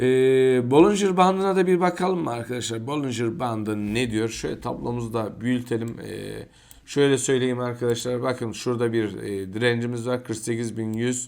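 Noticeable background noise sits behind a man of medium pitch who speaks at a moderate pace with lively intonation. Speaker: crypto market commentator. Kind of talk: market analysis video. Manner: hesitant fillers.

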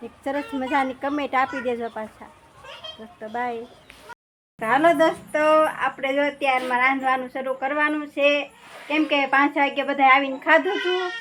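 A woman's high voice shows ordinary pitch variation and big swings in loudness. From rural Gujarat. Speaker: family vlogger, mother. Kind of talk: casual vlog.

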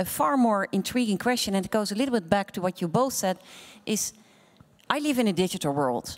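A woman speaks at a fairly quick pace with very wide pitch swings. The background is quiet. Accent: Dutch. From Netherlands. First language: Dutch. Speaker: bank chief executive; panelist. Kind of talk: panel discussion. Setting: stage with audience. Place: hall. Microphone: handheld.

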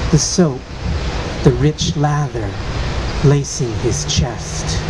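Over loud background noise, a man with an American accent speaks at a very slow pace. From San Francisco, California. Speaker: poet. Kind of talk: poetry reading. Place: street. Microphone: studio mic.

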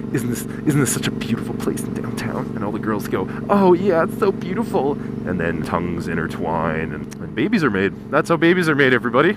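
Against loud background noise, a man speaks at a fairly quick pace. His voice makes very wide pitch swings, and the sound is dry with no echo. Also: hardly any pauses. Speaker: motorcycle vlogger. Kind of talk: casual motovlog commentary while riding. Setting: outdoors on a motorcycle, helmet headset. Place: motorbike. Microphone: helmet.

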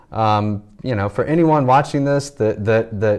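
A man speaks with fairly even intonation at a moderate pace against a quiet background. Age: 30s. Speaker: researcher. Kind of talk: casual interview. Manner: halting. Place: studio. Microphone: studio mic.

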